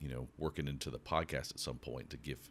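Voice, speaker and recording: His voice sits very deep and low. There is a creak of vocal fry throughout. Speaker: podcast host. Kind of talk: podcast monologue. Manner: casual, conversational.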